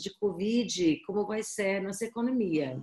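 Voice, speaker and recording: A woman with an Irish accent speaks at a fairly slow pace with lively intonation. Her voice is somewhat breathy, with a dark, mellow tone. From Ireland. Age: 40s. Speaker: education agency representative. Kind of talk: webinar presentation. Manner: halting. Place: home room. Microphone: webcam.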